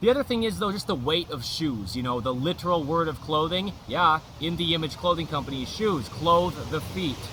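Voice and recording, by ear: With a bright, sharp tone and fairly high pitch, a man talks at a moderate pace with lively intonation and few pauses.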